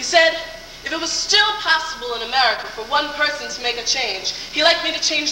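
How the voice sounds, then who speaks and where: Over noticeable background noise, a woman with an extremely high pitch speaks in a raised, projected voice. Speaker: pageant contestant giving an oratory. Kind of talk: original oratory speech. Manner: earnest, persuasive, declamatory.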